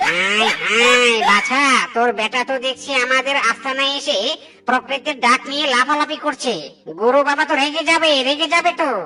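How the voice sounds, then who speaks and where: This cartoonish character voice sits at a high pitch and moves at a moderate pace. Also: female-sounding voice. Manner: fast-talking, greedy.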